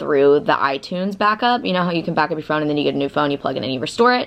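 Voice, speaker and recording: A woman's fairly low voice with an American accent and lively intonation. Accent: Southern, comes out when nervous. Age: 20s. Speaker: vlogger. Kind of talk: casual vlog talk. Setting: friend's apartment. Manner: casual, filler-heavy.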